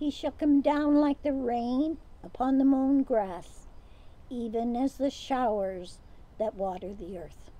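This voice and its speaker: A woman's high-pitched, dark, mellow voice at a very slow pace, with lively intonation. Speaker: co-leader reading responses and prayers. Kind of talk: morning prayer service, liturgical responses and collect. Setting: outdoors at a lakeside home. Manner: formal, measured, reverent. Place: waterside.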